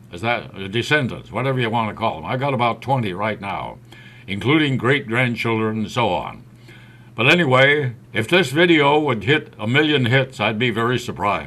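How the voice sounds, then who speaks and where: A man with an American accent speaks at a moderate pace in a medium pitch, with ordinary pitch variation. His tone is bright and sharp, with vocal fry. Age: 80s+. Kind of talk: casual video monologue. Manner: halting.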